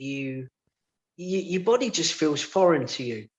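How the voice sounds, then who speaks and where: A man talks with a Cockney accent. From London, England. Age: 50s. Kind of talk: radio interview, personal testimony. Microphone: line dropping, sound quality went funny.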